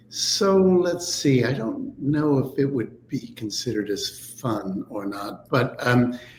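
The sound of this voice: A man at a slow pace, with audible room echo. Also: medium pitch for a man, ordinary pitch variation.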